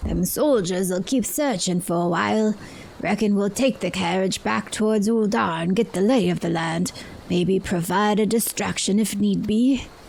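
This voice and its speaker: Put on as a character voice, the speech sits at a middle pitch and a moderate pace against clear background noise. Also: female-sounding voice. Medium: game stream. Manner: folksy, reassuring.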